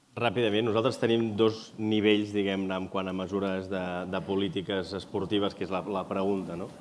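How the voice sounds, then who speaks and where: Over light background noise, a man with a fairly low pitch talks at a moderate pace in a monotone, flat intonation. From Catalonia. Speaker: sports federation president; panelist. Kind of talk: panel discussion. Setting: stage with audience. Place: hall. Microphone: lapel.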